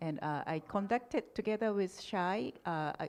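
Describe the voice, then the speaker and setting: A woman with a Japanese accent, a fairly slow pace and ordinary pitch variation, against a quiet background. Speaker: political science academic, panelist. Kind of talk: conference panel Q&A. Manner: halting, frequent self-corrections.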